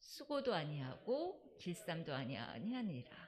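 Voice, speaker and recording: A woman speaks at a fairly slow pace with very wide pitch swings. Her voice is somewhat breathy. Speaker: church deacon presenting Sabbath school segment. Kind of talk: church talk.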